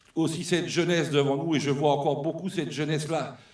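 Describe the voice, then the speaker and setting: A man talks with audible room echo. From New Caledonia. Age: 60s. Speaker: former trade union leader. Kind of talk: speech at a political congress. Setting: hall with audience. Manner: unscripted, emotional and animated.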